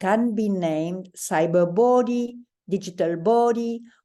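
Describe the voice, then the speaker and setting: A woman with a French accent speaks in a dark, mellow tone with ordinary pitch variation. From France. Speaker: psychoanalyst, panelist. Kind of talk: lecture. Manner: formal.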